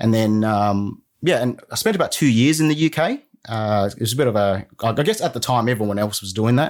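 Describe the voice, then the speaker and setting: A man with an Australian accent speaks at a medium pitch on a very clean recording with a silent background. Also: ordinary pitch variation, moderate pace. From Sydney, Australia (southwest), arrived from Vietnam at six. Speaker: former team lead turned small business owner. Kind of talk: casual interview. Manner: halting, with many fillers and restarts.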